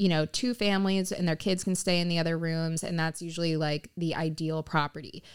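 On a very clean recording with a silent background, a woman with an American accent and a plain, everyday voice speaks at a moderate pace, her fairly low pitch carried by fairly even intonation. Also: hardly any pauses. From South Florida, Pompano Beach. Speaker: real estate agent. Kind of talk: interview.

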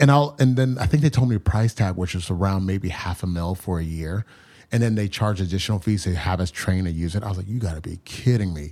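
In a very clean recording with a silent background, a man talks at a fairly quick pace, his fairly low voice dark and mellow in tone, with lively intonation. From US, New York area (born in Nigeria). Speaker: startup founder. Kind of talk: interview.

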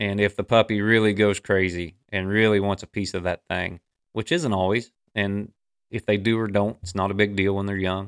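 A man talks at a moderate pace. He has a normal speaking voice. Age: 40s. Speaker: podcast host and coon dog trainer. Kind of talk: casual chat.

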